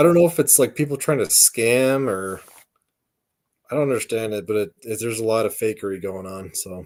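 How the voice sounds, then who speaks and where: A man with an American accent and a plain, everyday voice talks at a fairly quick pace and medium pitch. His intonation is lively, and the recording is very clean with a silent background. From western US. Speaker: podcast co-host. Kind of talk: casual chat.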